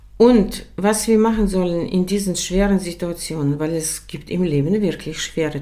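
Audible room echo surrounds a woman with a fairly low pitch. She speaks at a moderate pace with ordinary pitch variation. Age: 60s. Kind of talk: casual faith conversation, testimony.

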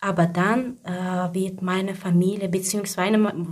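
A woman's somewhat breathy voice at medium pitch. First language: not German (speaking German). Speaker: mother and job seeker. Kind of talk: personal testimony. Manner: halting.

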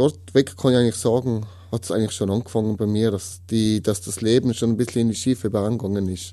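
A man with a Tyrolean accent speaks at medium pitch in a dark, mellow tone, with ordinary pitch variation. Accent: Tyrolean Austrian German. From Austria, Tyrol. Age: 30s. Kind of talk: testimony. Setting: studio. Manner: halting.

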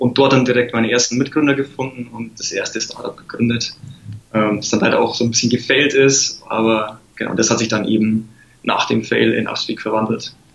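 Noticeable background noise beneath a man's medium pitch and fairly even intonation. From Lower Bavaria, Germany. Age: 20s. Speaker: app startup founder. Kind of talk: interview.

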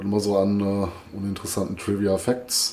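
The man's voice is fairly low in pitch, with a dark, mellow tone. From Ruhr area, Germany. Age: 40s. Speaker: metal podcast co-host. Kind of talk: casual chat.

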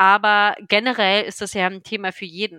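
In a very clean recording with a silent background and a dry, close sound free of echo, a woman speaks at medium pitch with a bright, sharp tone. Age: 30s. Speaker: patient blogger with multiple sclerosis. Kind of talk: interview conversation. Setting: studio. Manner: hesitant with many fillers.

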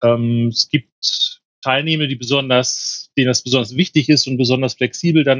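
At a fairly quick pace, a man speaks in an unremarkable speaking voice, medium in pitch, with fairly even intonation. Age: 50s. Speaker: mediator and trainer. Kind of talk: casual chat.

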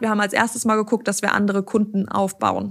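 The speaker is a woman with a medium pitch. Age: 30s. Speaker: managing director of a machine-building company. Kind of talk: interview.

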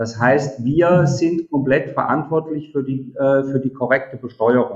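This man has a fairly high, somewhat breathy voice. His pitch varies in an ordinary way. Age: 50s. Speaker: software company executive. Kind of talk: interview. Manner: hesitant, many fillers.

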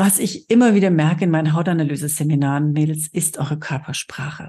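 A woman's somewhat breathy, very deep, low voice with a dark, mellow tone, a fairly quick pace and a quiet background. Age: 50s. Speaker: podcast host and cosmetics sales trainer. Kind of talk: solo podcast monologue. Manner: animated.

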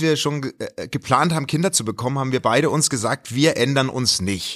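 This man's voice has a bright, sharp tone and fairly high pitch. The recording is very clean, with a silent background. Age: 40s. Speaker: television worker and podcaster. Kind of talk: casual chat.

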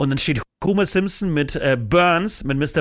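On a very clean recording with a silent background, a man talks. His pitch is fairly high, and his intonation is lively. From Poland. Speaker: rock musician. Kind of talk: casual chat.

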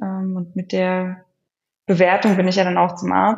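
This woman has a medium-pitched voice. She speaks at a fairly slow pace. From Germany. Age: 30s. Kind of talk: interview. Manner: hesitant, many filler sounds.

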